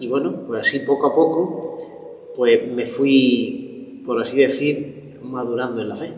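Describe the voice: At a fairly slow pace, a man speaks at medium pitch with ordinary pitch variation, and audible room echo surrounds him.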